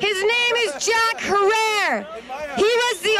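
Loud noise fills the background behind a woman's speech. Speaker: speaker. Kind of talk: public speech. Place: street. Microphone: handheld.

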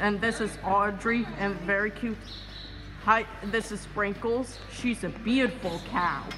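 At a fairly slow pace, a woman speaks with fairly even intonation against noticeable background noise. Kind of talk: casual vlog chat. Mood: affectionate, cheerful. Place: farm. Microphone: phone near.

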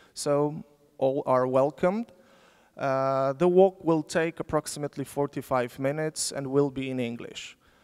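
A man with a Polish accent speaks at a fairly slow pace and a fairly high pitch. His pitch variation is ordinary, and the background is quiet. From Poland. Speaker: sociologist, symposium moderator. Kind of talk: conference moderation. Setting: lecture hall with audience. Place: hall. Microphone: handheld.

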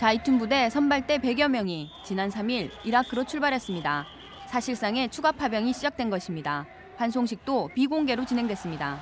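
A woman's high voice with very wide pitch swings at a moderate pace, dry with no echo, faint music in the background. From South Korea. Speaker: TV news producer-reporter. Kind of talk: scripted narration.

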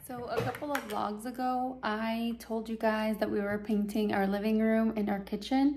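Over light background noise, a woman speaks at a moderate pace. Her intonation stays fairly even. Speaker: mom vlogger. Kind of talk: casual vlog chat. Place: home room. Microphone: phone near.

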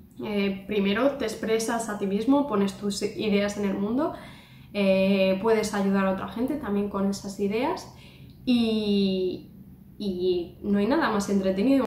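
A woman talks at a fairly slow pace with ordinary pitch variation. Audible room echo and noticeable background noise surround her voice. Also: medium pitch for a woman. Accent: Spanish. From Spain. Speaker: YouTuber. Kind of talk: vlog monologue. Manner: hesitant, many fillers.

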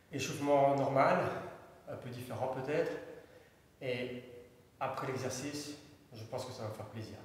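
A moderate pace and monotone, flat intonation inside strong room echo. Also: man. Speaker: fitness instructor. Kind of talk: tutorial. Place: empty room. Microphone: camera far.

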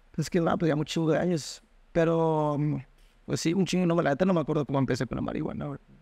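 Over a quiet background, a man races along at a very fast pace in a dark, mellow tone with fairly even intonation and a dry sound with no echo. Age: 20s. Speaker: university student; interview guest. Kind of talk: casual chat. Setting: at home. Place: home room. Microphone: studio mic.

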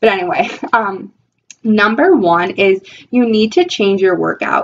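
A woman speaks in an animated tone with lively intonation. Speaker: weight loss vlogger. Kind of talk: casual vlog tutorial. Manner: animated, talks with her hands. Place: home room. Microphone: webcam.

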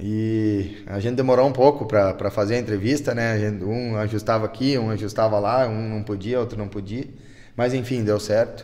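A man's dark, mellow voice, fairly low in pitch, with fairly even intonation at a moderate pace against a quiet background. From Selbach, Rio Grande do Sul, southern Brazil; Rio Grande do Sul, Brazil. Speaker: town councillor. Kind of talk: interview. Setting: on location in council chamber. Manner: halting, many repetitions. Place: meeting room. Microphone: handheld.

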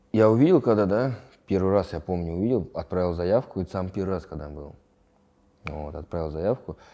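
Very deep and low, a man's voice with a dark, mellow tone and ordinary pitch variation moves at a fairly quick pace, with big swings in loudness and long, frequent pauses. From Moscow region, Russia. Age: 20s. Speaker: fighter; interviewee. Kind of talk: interview; interview answer. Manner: halting. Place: home room. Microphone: lapel.

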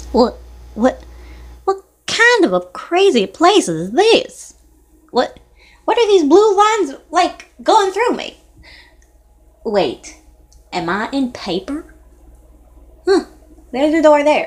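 A female-sounding, cartoonish character voice speaks at an extremely high pitch. It goes very slowly, with long, frequent pauses. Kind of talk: amateur cartoon character voice. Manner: puzzled, chatty, wondering aloud.

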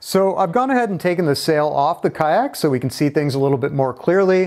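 Against a quiet background, a man speaks in a high pitch with lively intonation. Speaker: instructor. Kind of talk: tutorial. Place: home room. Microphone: lapel.

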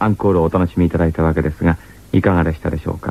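A man's dark, mellow tone in a dry sound with no echo. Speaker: radio host. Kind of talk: radio program narration. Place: studio. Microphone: old recording.

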